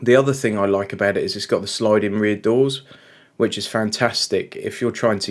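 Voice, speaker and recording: In an English accent, a man speaks at a fairly quick pace with a fairly low pitch and fairly even intonation, recorded very cleanly against a silent background. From England. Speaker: car reviewer. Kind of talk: casual talk-to-camera review. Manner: halting with fillers.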